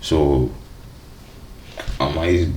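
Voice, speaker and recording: Noticeable background noise and audible room echo around a man's voice. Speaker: streamer reacting to videos. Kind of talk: reaction commentary. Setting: live stream. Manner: casual slangy.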